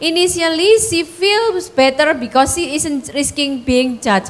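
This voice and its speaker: A woman speaks at a fairly slow pace with a high pitch and a strong Javanese accent. Her intonation is lively, and there is noticeable background noise. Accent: thick Javanese. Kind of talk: Indonesian mixed with English phrases.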